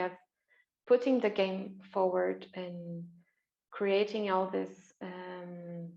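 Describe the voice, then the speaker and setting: A woman with a non-native accent speaks at a medium pitch and a very slow pace. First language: not English. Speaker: interviewer and game facilitator. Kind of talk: interview. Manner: halting.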